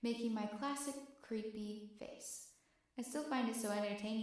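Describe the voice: The clip consists of plain reading aloud.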